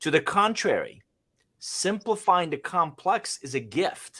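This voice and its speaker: A man speaking at a very slow pace on a very clean recording with a silent background. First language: not English. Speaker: business consultant, livestream host. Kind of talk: business livestream discussion. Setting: live stream.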